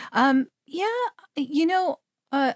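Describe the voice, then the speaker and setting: At a very slow pace, a woman speaks with lively intonation, the sound dry and close with no echo on a very clean recording with a silent background. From Canada. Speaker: voice actor. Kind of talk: interview.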